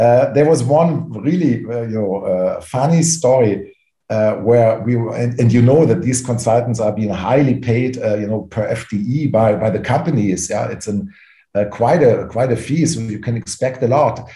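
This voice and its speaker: A man with a German accent speaks at a medium pitch and a fairly slow pace, with ordinary pitch variation. His tone is dark and mellow and somewhat breathy. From Germany. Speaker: private equity executive. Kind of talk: interview. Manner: halting, many fillers.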